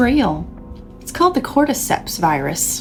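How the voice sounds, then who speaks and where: Music plays behind a woman as she speaks. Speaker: podcast co-host. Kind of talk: casual podcast conversation.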